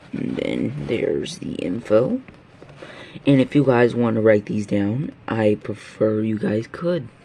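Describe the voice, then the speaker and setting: Over noticeable background noise, a man at a medium pitch speaks at a very slow pace with lively intonation. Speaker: video creator. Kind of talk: casual video narration.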